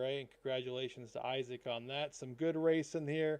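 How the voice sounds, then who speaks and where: A man's dark, mellow voice at a moderate pace. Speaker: sim racing broadcaster. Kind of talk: live race commentary wrap-up.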